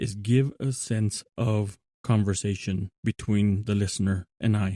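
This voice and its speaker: A man's mumbling, with a dark, mellow tone, monotone, flat intonation and a dry, close sound with no echo. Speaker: podcast host, Bible reflection. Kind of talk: monologue podcast talk. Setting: remote recording app. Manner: tends to mumble; conversational, with fillers and self-corrections.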